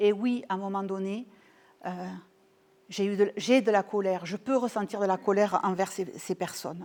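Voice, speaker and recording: At a moderate pace with long, frequent pauses, a woman speaks at medium pitch with fairly even intonation and big swings in loudness. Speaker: couple and family therapist. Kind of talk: talk to an audience, personal testimony. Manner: hesitant, many fillers and repetitions.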